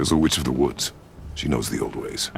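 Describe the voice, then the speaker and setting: A put-on character voice from a man, very deep and low, at a fairly quick pace over clear background noise. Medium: video game. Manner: terse, grave.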